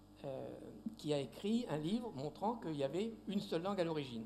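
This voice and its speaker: A man speaks at a moderate pace in a fairly high pitch. His pitch swings very widely, and room echo is audible. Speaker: linguist, lecturer. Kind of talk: Q&A after a lecture. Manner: hesitant, repeats words.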